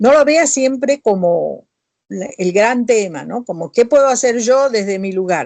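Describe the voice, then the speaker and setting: A woman speaks at a fairly slow pace with a dark, mellow tone and lively intonation. The sound is dry and close, without echo. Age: 60s. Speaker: author and professor. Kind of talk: interview answers. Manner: conversational, with fillers and self-corrections.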